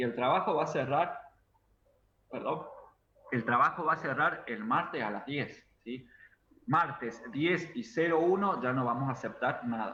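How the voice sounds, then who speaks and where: With lively intonation and a bright, sharp tone, a man speaks at a fairly high pitch and a fairly slow pace, leaving long, frequent pauses. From Argentina, Córdoba. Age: 30s. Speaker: university lecturer. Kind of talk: online class. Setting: video call.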